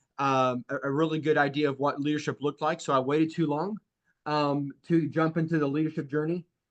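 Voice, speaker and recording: Over a quiet background, a man with a fairly high voice speaks at a fairly quick pace in a monotone, flat delivery, the sound dry and close with no echo. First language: French. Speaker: insurance sales agency leader. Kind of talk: sales training talk. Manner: halting, many fillers.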